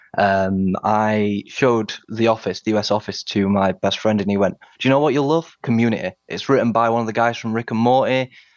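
In a Yorkshire accent, a man speaks at a fairly quick pace and a medium pitch with ordinary pitch variation. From Sheffield, northern England. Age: 20s. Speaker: podcast quiz contestant. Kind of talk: casual chat.

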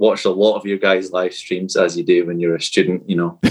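This speaker is a man. He speaks with a Scottish accent. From Fife, Scotland. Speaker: podcast guest, superfan quiz contestant.

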